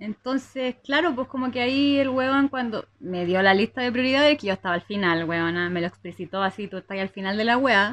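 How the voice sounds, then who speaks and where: In a normal speaking voice, a woman talks at a fairly quick pace with lively intonation, a fairly high pitch and hardly any pauses, the sound dry and close with no echo. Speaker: podcast co-host. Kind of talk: casual chat.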